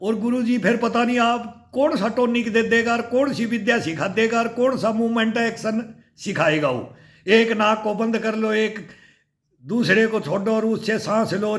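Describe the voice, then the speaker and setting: Room echo can be heard around a man's voice. His pitch is high, with ordinary variation. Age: 60s. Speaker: fitness YouTuber, army veteran. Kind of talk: casual vlog talk. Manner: animated.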